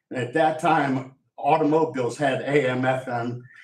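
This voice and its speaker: A somewhat breathy man talks with ordinary pitch variation. Room echo is audible. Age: 60s. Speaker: member of the public at public comment. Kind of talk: public comment at council meeting. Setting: county commissioners' meeting. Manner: halting, repetitive.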